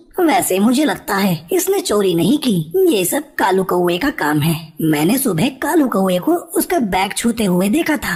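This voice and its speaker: A cartoonish character voice, female-sounding and medium in pitch, swings very widely in pitch at a moderate pace. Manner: calm, measured.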